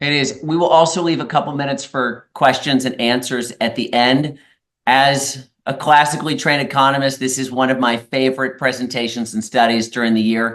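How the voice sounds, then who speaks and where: Delivered in an ordinary speaking voice, the speech moves at a fairly quick pace with fairly even intonation. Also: man, medium pitch for a man. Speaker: economist and real estate team co-leader. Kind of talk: webinar presentation. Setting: online webinar.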